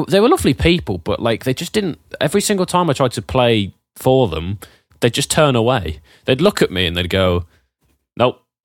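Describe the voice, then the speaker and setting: A man with a British accent and very wide pitch swings, on a very clean recording with a silent background. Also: dry, close sound with no echo. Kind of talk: casual chat.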